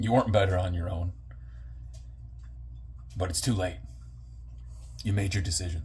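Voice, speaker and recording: With a very deep, low pitch and vocal fry, a man speaks at a moderate pace with lively intonation and long, frequent pauses. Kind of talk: wrestling-style promo monologue to camera.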